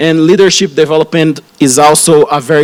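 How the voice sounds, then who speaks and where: In a Brazilian Portuguese accent, the speaker talks at a moderate pace with ordinary pitch variation amid noticeable background noise. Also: man, dry, close sound with no echo. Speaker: radiation oncologist. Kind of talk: conference talk. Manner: halting, many fillers and restarts.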